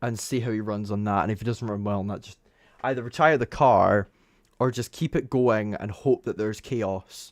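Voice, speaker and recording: A man speaks with a Scottish accent at a moderate pace. The recording is very clean, with a silent background. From Scotland. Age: young. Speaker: F1 commentator. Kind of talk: live race commentary stream. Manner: casual, conversational.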